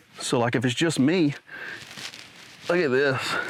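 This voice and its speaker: Over noticeable background noise, a man speaks at a moderate pace in an enthusiastic tone. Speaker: camping YouTuber. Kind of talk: vlog tutorial. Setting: inside truck bed tent. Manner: casual, enthusiastic; loud.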